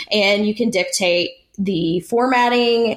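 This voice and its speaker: With an American accent, a woman talks at a medium pitch with ordinary pitch variation. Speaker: podcast co-host. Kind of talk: casual chat.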